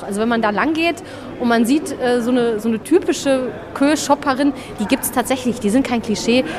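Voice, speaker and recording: Over music in the background, the speech runs at a very fast pace with ordinary pitch variation. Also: woman. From Solingen, Bergisches Land, Germany. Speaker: journalist. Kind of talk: casual interview. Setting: shopping arcade. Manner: talkative.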